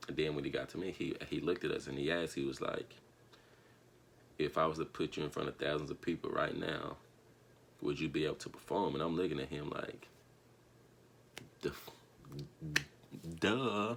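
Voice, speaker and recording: With an American accent, a man speaks at a very deep, low pitch with vocal fry and ordinary pitch variation. His pace is fairly quick, broken by long, frequent pauses. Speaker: vlogger and singer. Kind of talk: casual vlog storytelling.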